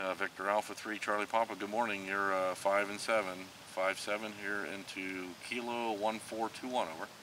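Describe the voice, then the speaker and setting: A man with a fairly low pitch speaks at a moderate pace in a monotone, flat delivery, with noticeable background noise. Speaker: amateur radio operator. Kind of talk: radio calling and casual aside. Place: forest. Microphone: camera far.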